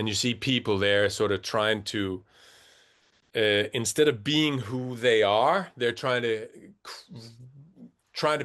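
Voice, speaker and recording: Very slow speech with long, frequent pauses and ordinary pitch variation against a quiet background. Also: man. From rural Denmark. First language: Danish. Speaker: rock band musician. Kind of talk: casual chat. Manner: halting, many fillers and restarts.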